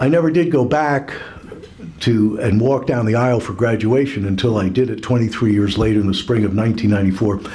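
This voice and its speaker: A man with an American accent talks fairly quickly at medium pitch with lively intonation, amid noticeable background noise and audible room echo. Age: 60s. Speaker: business owner. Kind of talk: after-dinner speech. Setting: luncheon event with audience. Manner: halting.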